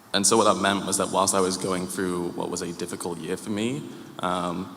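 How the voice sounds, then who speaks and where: Very deep and low, a man's monotone voice moves at a fairly quick pace with audible room echo. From UK. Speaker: church member. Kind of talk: testimony. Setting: church. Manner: halting, many fillers.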